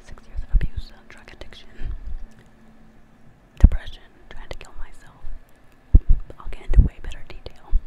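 A whisper at a fairly quick pace, broken by long, frequent pauses. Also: woman. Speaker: ASMR creator. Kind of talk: personal talk to viewers. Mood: earnest, confessional. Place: home room. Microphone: studio mic.

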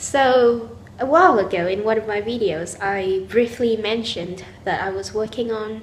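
Light background noise sits behind a woman speaking at a moderate pace, her fairly high voice showing ordinary pitch variation. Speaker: university student. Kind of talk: casual vlog talk to camera. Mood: cheerful, smiling.

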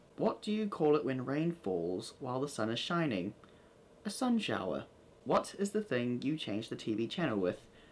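A man with an American accent at a moderate pace, his pitch swinging very widely. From New Zealand. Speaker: vlogger. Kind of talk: casual talk to camera. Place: home room. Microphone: camera far.

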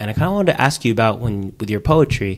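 Talking at a fast pace, a man uses a fairly low pitch with lively intonation.

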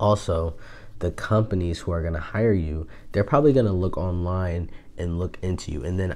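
A man speaks softly at a moderate pace, his pitch very deep and low. His tone is dark and mellow, with ordinary pitch variation. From Buffalo, New York. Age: 20s. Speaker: online business YouTuber. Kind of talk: casual talk to camera. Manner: soft-spoken, hushed. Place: home room. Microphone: lapel.

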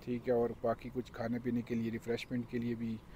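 A man's dark, mellow voice at a moderate pace, dry with no echo, over light background noise. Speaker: travel vlogger. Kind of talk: casual vlog chat. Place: street. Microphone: lapel.

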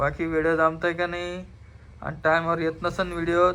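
A man talks in a high pitch with monotone, flat intonation. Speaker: family vlogger. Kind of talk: casual family vlog.

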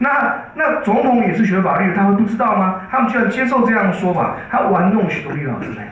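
A high-pitched man talks with hardly any pauses and ordinary pitch variation. Audible room echo is present. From Taiwan. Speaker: law professor. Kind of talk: press conference remarks. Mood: critical, sarcastic. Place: meeting room.

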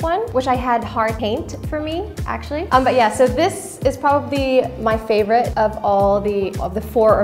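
Clear music plays behind a woman who speaks with hardly any pauses. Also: moderate pace. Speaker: interviewee. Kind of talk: casual show-and-tell chat. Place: studio.

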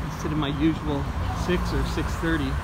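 The speaker keeps a moderate pace. Loud background noise fills the recording. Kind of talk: casual vlog commentary. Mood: calm, mildly argumentative. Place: street. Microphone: phone near.

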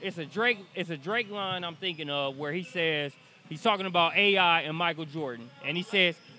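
Over music in the background, a man with a high pitch speaks at a moderate pace in a dry sound with no echo. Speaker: sports interviewer. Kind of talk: interview questions, casual banter. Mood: playful, joking. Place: hall. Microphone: handheld.

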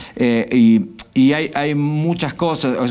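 The speaker is a man. His voice sits fairly high in pitch. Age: 40s. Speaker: stage hypnotist; guest. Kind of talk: hypnotic induction; interview chat.

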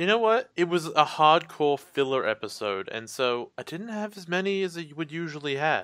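A plain, everyday voice talks at a moderate pace with hardly any pauses. Its intonation is lively, with big swings in loudness. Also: man, fairly high pitch for a man. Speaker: podcast co-host. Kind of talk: casual chat. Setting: Skype call recording. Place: home room.

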